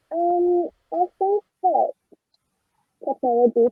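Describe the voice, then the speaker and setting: Music plays in the background as a woman with an Australian accent speaks at a very slow pace with lively intonation. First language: Auslan (sign language). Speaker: sign language expert. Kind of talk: panel discussion.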